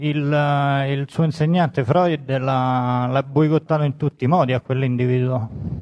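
This man speaks at a fairly slow pace with hardly any pauses and fairly even intonation. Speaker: audience member. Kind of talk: audience question. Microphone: booming, echoing.

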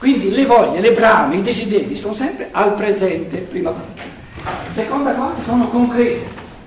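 There is audible room echo and noticeable background noise. Through it, a man talks at a moderate pace with ordinary pitch variation. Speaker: lecturer on philosophy. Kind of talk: lecture. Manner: loud; halting.

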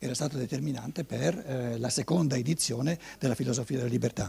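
With vocal fry in his voice, a man talks at a fairly quick pace. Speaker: lecturer on anthroposophy. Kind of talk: lecture. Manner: hesitant, many repetitions and fillers.

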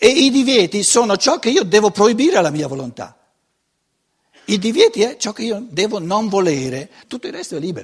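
The voice swings very widely in pitch, broken by long, frequent pauses. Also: man, high pitch for a man, fairly quick pace. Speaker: lecturer on philosophy. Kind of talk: lecture. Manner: halting, many fillers.

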